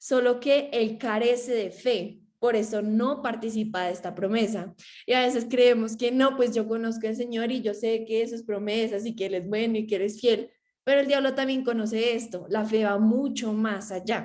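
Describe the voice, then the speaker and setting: A woman's fairly high-pitched voice with fairly even intonation. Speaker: theology student presenting. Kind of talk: class presentation. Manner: fast.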